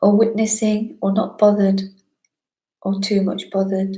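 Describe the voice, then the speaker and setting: A woman's somewhat breathy, dark and mellow voice at a moderate pace, with a slight northern English accent. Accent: British with a slight northern twang. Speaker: spiritual teacher. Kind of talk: live online talk answering chat questions.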